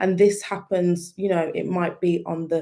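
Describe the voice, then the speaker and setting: A woman's fairly low, dark, mellow voice in a British accent, with monotone, flat intonation. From UK. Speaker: digital marketing specialist. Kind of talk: webinar presentation.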